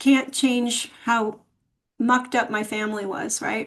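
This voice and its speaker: A woman speaks in a high voice with flat, monotone intonation. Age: 60s. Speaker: podcast guest. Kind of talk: interview.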